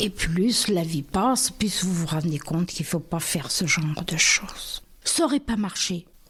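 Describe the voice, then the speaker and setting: In a somewhat breathy voice, a woman takes a fairly slow pace. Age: 80s+. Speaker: retired bank employee. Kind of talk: interview answer. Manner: casual, chatty.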